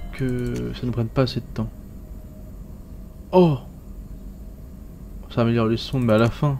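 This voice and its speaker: Over noticeable background noise, a man talks at a very slow pace, with long, frequent pauses. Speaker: gaming video creator. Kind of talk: let's play commentary. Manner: casual, hesitant.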